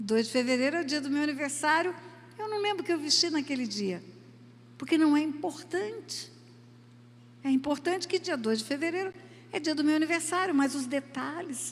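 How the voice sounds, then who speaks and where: A woman talks at a moderate pace with a high pitch and lively intonation. Her speech has long, frequent pauses. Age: 70s. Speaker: preacher. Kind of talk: sermon.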